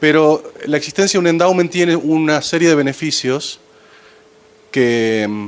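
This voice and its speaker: Here a man talks in an Argentine accent. His pitch is fairly high and his intonation lively. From Argentina. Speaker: financial advisor to foundations. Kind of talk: conference talk.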